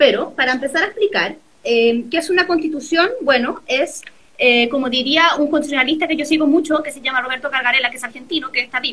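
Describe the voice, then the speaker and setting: Amid noticeable background noise, a woman with a high pitch and ordinary pitch variation speaks at a very fast pace with big swings in loudness. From Chile, San Felipe (Aconcagua valley). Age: 30s. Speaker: constitutional lawyer. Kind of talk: interview.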